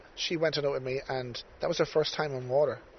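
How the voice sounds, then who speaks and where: Speaking fairly quickly, a man is heard over noticeable background noise. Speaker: podcast host. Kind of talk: casual interview chat. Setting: outdoors by the river.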